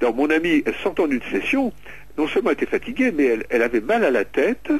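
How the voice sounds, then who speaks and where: The speech moves at a very fast pace, with very wide swings in pitch. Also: man, fairly high pitch for a man. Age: 60s. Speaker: author and paranormal researcher. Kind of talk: radio interview. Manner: halting.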